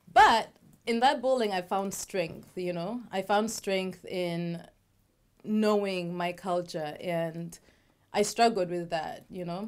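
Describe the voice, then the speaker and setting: A very slow voice with a Ugandan accent and ordinary pitch variation, in a very clean recording with a silent background. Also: woman, medium pitch for a woman. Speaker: talk show co-host. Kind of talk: casual chat.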